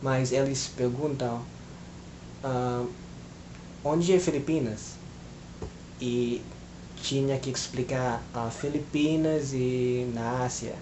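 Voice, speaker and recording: A man at a very slow pace with long, frequent pauses, medium pitch, fairly even intonation, a somewhat breathy voice and audible room echo. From Philippines. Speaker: language learner vlogger. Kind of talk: casual monologue vlog. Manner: hesitant, many filler sounds.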